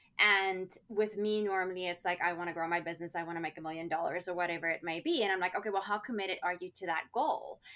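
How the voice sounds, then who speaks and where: There is noticeable background noise as a woman talks at a very fast pace in a medium pitch. Her intonation stays fairly even, with hardly any pauses. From South Africa. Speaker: life coach and author. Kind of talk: casual interview chat.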